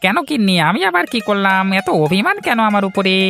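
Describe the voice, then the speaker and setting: Someone uses a cartoonish character voice at a middle pitch and a fairly quick pace. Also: female-sounding voice. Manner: jovial, sweet-talking.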